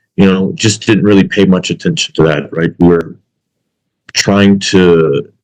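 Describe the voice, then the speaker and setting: At a fairly slow pace, a man speaks with a very deep, low pitch, ordinary pitch variation and very even loudness. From US South (Alabama), earlier California. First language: Arabic. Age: 30s. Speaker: podcast co-host. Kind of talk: casual chat. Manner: halting, many fillers.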